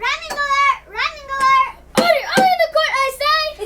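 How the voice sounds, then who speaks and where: A squeaky, put-on character voice sits at an extremely high pitch. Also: moderate pace. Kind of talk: children's reader's theater. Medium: stage play. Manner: stern, fussy.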